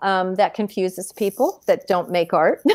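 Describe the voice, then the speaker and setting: A woman has an ordinary speaking voice, with ordinary pitch variation and a moderate pace. The recording is very clean, with a silent background. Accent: American. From California. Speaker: mixed media artist. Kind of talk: casual interview.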